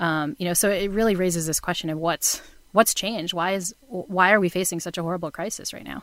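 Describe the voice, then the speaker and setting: A woman speaks in a plain, everyday voice at a medium pitch. Her pace is fairly quick and her intonation fairly even. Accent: American. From Massachusetts, New Bedford. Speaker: psychology professor. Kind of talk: casual interview.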